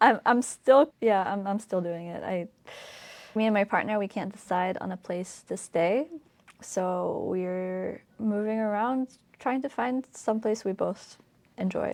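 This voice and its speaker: With a Polish accent, a woman speaks at a fairly slow pace in a medium pitch, showing ordinary pitch variation. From Poland, then Ireland from about age ten. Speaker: podcast host. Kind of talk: solo podcast monologue, personal reflection.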